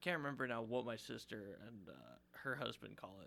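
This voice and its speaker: This man's voice is medium in pitch, with a bright, sharp tone. There is vocal fry, and the pitch varies in an ordinary way. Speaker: student podcast host. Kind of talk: casual interview.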